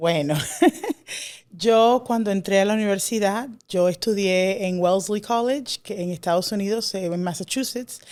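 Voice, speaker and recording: Very clean recording with a silent background, a woman at a medium pitch with ordinary pitch variation and a fairly slow pace. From Dominican Republic. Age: young. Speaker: classics scholar. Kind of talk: interview. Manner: hesitant, many fillers.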